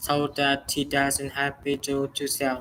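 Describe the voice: A man speaks at a fairly slow pace. His tone is fairly bright.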